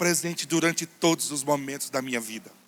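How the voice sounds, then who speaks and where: The speaker is a man with a high-pitched voice. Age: 40s. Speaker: pastor. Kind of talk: sermon.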